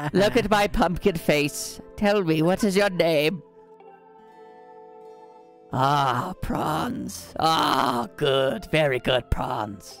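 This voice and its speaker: Over clear music in the background, a man speaks at a very slow pace with long, frequent pauses. His put-on character voice is fairly high in pitch and swings very widely. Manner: mystical, theatrical.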